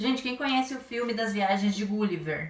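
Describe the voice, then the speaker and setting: There is noticeable background noise. The talking comes at a fairly quick pace. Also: woman. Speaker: primary school teacher. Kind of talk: lesson for children. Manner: fast.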